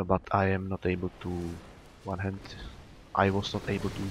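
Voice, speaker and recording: In a non-native accent, a man talks with a very deep, low pitch and monotone, flat intonation. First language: not English. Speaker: gaming YouTuber. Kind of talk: gameplay tutorial commentary. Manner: halting, many fillers.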